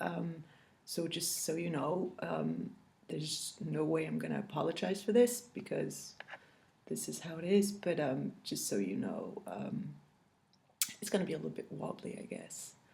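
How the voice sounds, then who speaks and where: Amid audible room echo, a woman with a French accent speaks at a moderate pace. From France. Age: 40s. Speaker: cross-stitch video blogger. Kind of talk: casual chat. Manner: halting, many fillers.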